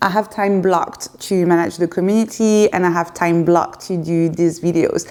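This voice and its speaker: A woman speaks in a French accent at a moderate pace. Her pitch is fairly low and her intonation fairly even. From France (Paris). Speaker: YouTuber and community founder. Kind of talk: casual Q&A monologue. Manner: hesitant, with fillers.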